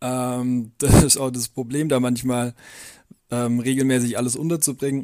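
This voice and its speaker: A man speaks at a moderate pace in a medium pitch, his tone dark and mellow and his intonation monotone and flat. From Swabia, near Calw. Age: 20s. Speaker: trainee teacher. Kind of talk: interview.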